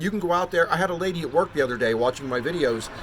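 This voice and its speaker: Through vocal fry, a man with an American accent speaks at a fairly high pitch with lively intonation. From Pennsylvania, Hershey area. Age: 50s. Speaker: amateur sports enthusiast vlogger. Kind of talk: enthusiastic promotional monologue. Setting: outdoors on front porch. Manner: loud; animated.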